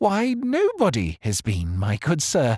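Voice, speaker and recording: The speaker uses a put-on character voice at a low-to-middle pitch. The delivery comes at a fairly slow pace. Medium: read story. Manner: indignant, chatty.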